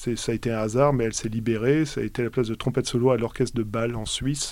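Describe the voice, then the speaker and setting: This man has a medium-pitched voice and fairly even intonation. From France, Alsace. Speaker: orchestral trumpeter. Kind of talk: interview. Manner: halting, many hesitations.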